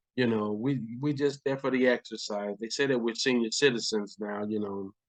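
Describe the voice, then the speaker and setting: A man speaks at a moderate pace, his pitch medium. It is a normal speaking voice with fairly even intonation. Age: 60s. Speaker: retired sheriff's deputy and army veteran. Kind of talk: casual chat. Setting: at home.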